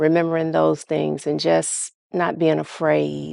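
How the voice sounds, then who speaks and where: A woman with an American accent speaks at a very slow pace and with fairly even intonation, recorded dry and close with no echo against a quiet background. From Virginia, Portsmouth. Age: 60s. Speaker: interviewee, mother and grandmother. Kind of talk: recorded family interview.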